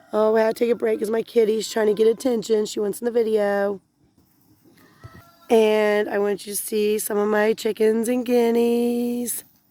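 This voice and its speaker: Music plays in the background as a woman speaks. Her pitch is fairly high and her pace moderate. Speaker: homesteader. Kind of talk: casual vlog talk to camera. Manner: hesitant with fillers.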